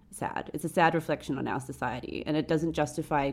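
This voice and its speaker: A woman's very deep, low voice with vocal fry, fairly quick and fairly even in intonation. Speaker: podcast host. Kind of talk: casual chat.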